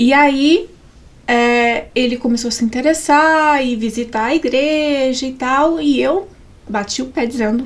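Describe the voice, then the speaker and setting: In a Minas Gerais accent, a woman with a high pitch speaks at a fairly slow pace with ordinary pitch variation. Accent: mineiro (Minas Gerais). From Brazil, Minas Gerais. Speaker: psychologist, pastor's wife. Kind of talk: podcast interview, personal testimony.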